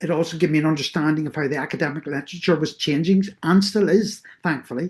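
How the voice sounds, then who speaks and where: In a Northern Irish accent, a woman talks at a fairly quick pace with a fairly low pitch and ordinary pitch variation. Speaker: researcher. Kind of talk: lecture.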